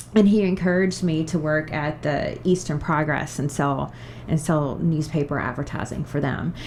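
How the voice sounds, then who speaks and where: Noticeable background noise sits behind a woman with a Kentucky accent. Her pitch is very deep and low, her pace moderate and her intonation fairly even. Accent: Kentucky Southern accent, regained. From Kentucky (Bardstown). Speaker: TV show host and media sales professional. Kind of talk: podcast interview.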